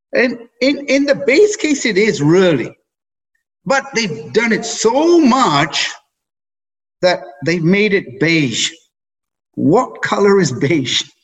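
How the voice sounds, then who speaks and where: A man's high-pitched voice with very wide pitch swings and very even loudness, at a very slow pace with long, frequent pauses, over music in the background. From England. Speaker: investment strategist. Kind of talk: interview.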